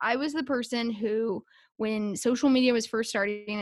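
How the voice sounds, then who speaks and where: A woman speaks in a normal speaking voice at a fairly high pitch with ordinary pitch variation, and the very clean recording has a silent background and a dry, close sound with no echo. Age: 20s. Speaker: social media content strategist for a sports team. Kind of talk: casual interview chat.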